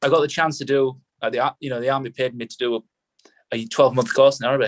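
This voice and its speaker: A man with a northern English accent talks very fast in a monotone, flat intonation. The sound is dry and close, with no echo. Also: medium pitch for a man. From northern England. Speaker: army veteran. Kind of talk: casual chat.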